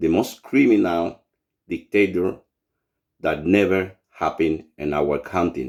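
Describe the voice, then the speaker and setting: Speaking at a fairly slow pace with long, frequent pauses, a man with a Cuban accent has a very deep, low pitch, ordinary pitch variation and vocal fry. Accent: non-native English, Cuban Spanish. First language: Spanish. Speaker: writer and political activist. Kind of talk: political monologue to camera. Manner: halting, searching for words; impassioned.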